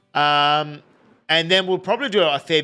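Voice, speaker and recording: Over a very clean, silent background, a man with an Australian accent speaks at a fairly slow pace in a bright, sharp tone. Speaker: video game streamer. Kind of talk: live gameplay stream chat. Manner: casual, rambling.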